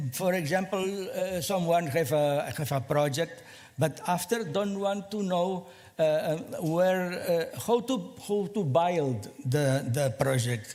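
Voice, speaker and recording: A high-pitched man's voice with a non-native accent, at a very slow pace, with audible room echo. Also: lively intonation. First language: Spanish or Catalan. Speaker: small space company representative. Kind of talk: conference presentation. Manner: halting, many fillers and repeats.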